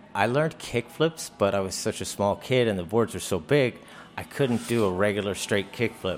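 A man has an unremarkable speaking voice with an American accent, fairly low in pitch. He talks at a moderate pace with ordinary pitch variation. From Virginia, Hampton area. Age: 40s. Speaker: professional skateboarder. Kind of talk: casual interview. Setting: live show in a hotel.

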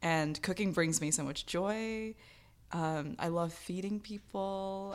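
A woman's fairly low pitch with fairly even intonation, an unremarkable speaking voice. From US, raised by Bangladeshi immigrant parents. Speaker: artist and poet. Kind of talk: candid interview.

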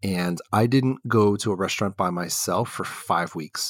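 An ordinary speaking voice from a man with an American accent, fairly low in pitch with ordinary pitch variation, on a dry, close recording with no echo, very clean with a silent background. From Texas (Houston and Dallas). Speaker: podcast host. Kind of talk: casual interview conversation.

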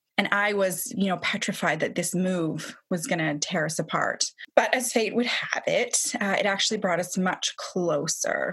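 Female speech at a middling speed, with clear background noise throughout. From England, just outside London. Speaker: podcast host. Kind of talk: personal storytelling monologue.

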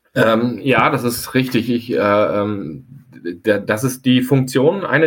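Ordinary pitch variation in a plain, everyday voice. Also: man. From Hesse, near Frankfurt. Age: 40s. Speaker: architect and company director. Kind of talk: interview.

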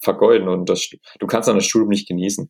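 A man at a fairly quick pace. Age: 20s. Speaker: physician and entrepreneur. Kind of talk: casual interview.

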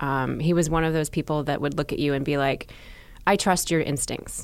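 A woman speaks with a very deep, low pitch. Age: 40s. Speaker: journalist and TV host. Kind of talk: casual chat. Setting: studio.

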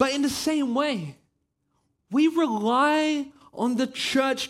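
A man speaks at a fairly slow pace with ordinary pitch variation. His pitch is extremely high. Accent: Australian. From Australia. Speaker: campus pastor. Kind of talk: sermon. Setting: church.

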